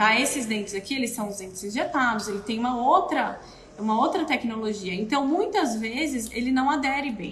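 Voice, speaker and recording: A woman talks with ordinary pitch variation. Noticeable background noise and audible room echo come through. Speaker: dental prosthetics technician. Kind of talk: live stream tutorial. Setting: live video stream.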